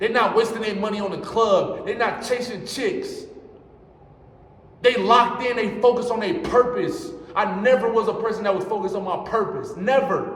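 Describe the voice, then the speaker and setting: Amid noticeable background noise and an audible room echo, a man with an extremely high pitch talks at a moderate pace in an animated tone. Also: ordinary pitch variation. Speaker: motivational vlogger. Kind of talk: motivational monologue. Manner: loud, yelling.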